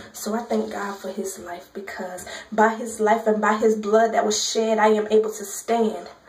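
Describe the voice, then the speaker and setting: Against noticeable background noise, a woman speaks at a moderate pace with a fairly high pitch. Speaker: spoken word poet. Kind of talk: gospel spoken word poetry performance.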